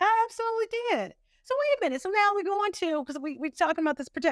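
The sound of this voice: A woman speaks fast with an extremely high pitch. The sound is dry and close, with no echo. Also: lively intonation.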